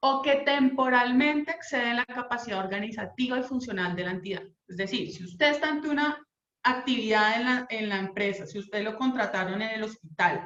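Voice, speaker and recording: In a plain, everyday voice, a woman speaks with lively intonation. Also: fairly high pitch for a woman. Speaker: labor lawyer. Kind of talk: legal talk / online lecture.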